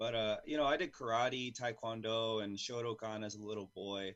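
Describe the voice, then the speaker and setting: This is a man speaking. He talks with an American accent. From California. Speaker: jiu-jitsu coach and competitor. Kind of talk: interview. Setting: video call. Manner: loud.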